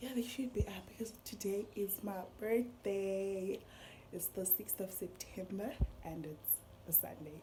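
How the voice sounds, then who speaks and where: A woman's medium-pitched voice, dark and mellow with vocal fry, at a fairly slow pace with ordinary pitch variation and long, frequent pauses. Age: 20s. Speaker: vlogger. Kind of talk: casual vlog talk. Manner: animated.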